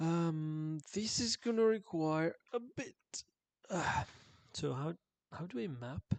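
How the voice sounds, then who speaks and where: A quiet man at high pitch, with very wide pitch swings, a very slow pace and long, frequent pauses, in a dry, close sound with no echo. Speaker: game developer streaming coding. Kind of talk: live coding stream. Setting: home, early morning while others sleep. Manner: quiet, low volume; hesitant, many fillers. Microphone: viewers say audio is too quiet.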